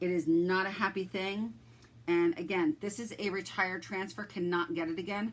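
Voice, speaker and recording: An unremarkable speaking voice moves at a moderate pace. The intonation is lively. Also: woman. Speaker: craft seller demonstrating chalk transfers. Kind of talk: live craft tutorial. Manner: casual, chatty.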